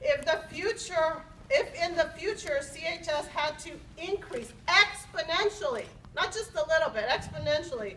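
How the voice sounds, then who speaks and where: Projecting a raised voice at an extremely high pitch, a woman speaks at a moderate pace with lively intonation and big swings in loudness over noticeable background noise. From Los Angeles (moved from Mexico at seven). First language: Spanish. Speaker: university faculty member. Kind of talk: formal speech at academic senate meeting.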